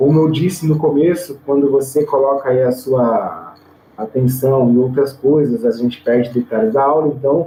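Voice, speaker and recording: A fairly high-pitched man keeps a moderate pace and ordinary pitch variation while noticeable background noise runs underneath. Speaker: theology teacher. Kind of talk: online lecture. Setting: recorded online video class. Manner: casual, filler-heavy (tá, né, é).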